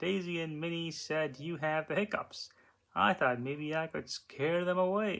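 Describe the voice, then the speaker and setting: At a moderate pace, a man does a put-on character voice with a fairly high pitch. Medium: read story. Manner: cross.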